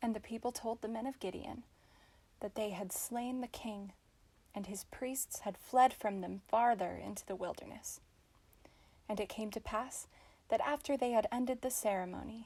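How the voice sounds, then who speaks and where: A woman's fairly high, somewhat breathy voice with a dark, mellow tone, fairly even intonation, a moderate pace, and long, frequent pauses. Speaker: audiobook narrator. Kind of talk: scripture audiobook reading. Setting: home recording, non-professional microphone. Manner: expressive, storytelling.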